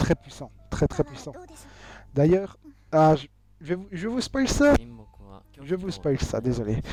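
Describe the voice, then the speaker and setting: Long pauses come often in this very slow speech. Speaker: video game reviewer. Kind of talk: video review. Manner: halting, many fillers.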